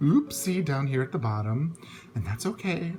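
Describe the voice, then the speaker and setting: Over noticeable background noise, a man speaks at a fairly high pitch for a man. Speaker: planner hobby YouTuber. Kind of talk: casual show-and-tell tutorial. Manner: halting, many fillers.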